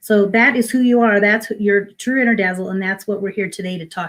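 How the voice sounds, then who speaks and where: A woman talks at a very fast pace in a fairly high, somewhat breathy voice. The recording is very clean, with a silent background. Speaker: minister and spiritual coach. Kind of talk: inspirational talk.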